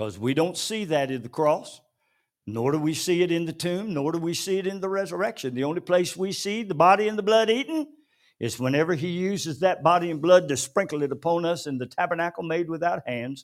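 A man with a normal speaking voice talks at a fairly quick pace, fairly high in pitch and with lively intonation. The recording is very clean, with a silent background. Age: 60s. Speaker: pastor. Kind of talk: sermon. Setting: church.

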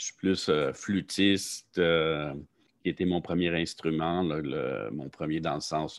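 On a very clean recording with a silent background, a man with a very deep, low pitch speaks at a very slow pace with fairly even intonation. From Quebec, Saint-Jean-sur-Richelieu. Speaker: professor, limnology researcher. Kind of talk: interview. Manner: halting, many fillers.

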